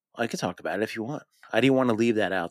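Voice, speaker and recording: The speech comes at a very fast clip, dry and close with no echo. The recording is very clean, with a completely silent background. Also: man. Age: 40s. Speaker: law enforcement veteran and podcaster. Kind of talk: interview.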